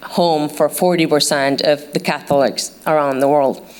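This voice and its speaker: Her voice is very deep and low for a woman, with fairly even intonation and a moderate pace. Noticeable background noise runs underneath. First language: not English. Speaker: journalist. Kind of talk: panel talk. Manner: hesitant, many fillers.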